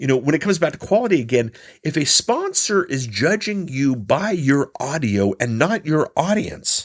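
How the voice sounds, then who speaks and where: At a moderate pace, a man talks in a fairly high pitch that swings very widely. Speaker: podcast coach. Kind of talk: solo podcast monologue. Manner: casual, some filler words and stammers. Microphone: trying a new sound setup this episode.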